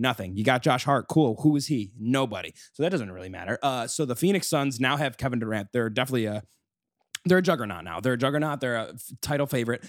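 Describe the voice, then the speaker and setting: His speech is very fast. The man's intonation is lively. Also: very clean recording, silent background. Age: 20s. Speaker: podcast co-host. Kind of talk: casual chat.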